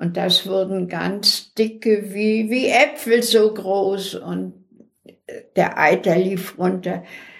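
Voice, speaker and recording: Delivery comes at a very slow pace with fairly even intonation. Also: woman, medium pitch for a woman. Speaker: deportation survivor. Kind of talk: oral history interview.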